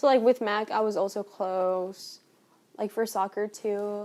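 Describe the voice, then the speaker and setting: A woman with a Spanish accent speaks at a very slow pace, her pitch medium and her intonation fairly even. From Colombia. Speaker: university student. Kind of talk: casual interview.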